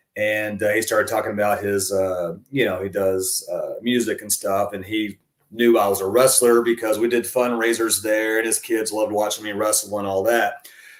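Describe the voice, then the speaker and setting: A man with a Southern US accent, a fairly low pitch, monotone, flat intonation, a moderate pace and hardly any pauses. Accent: Southern twang. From Arkansas. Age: 40s. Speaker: professional wrestler. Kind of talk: interview. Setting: live stream podcast. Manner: casual, halting with fillers.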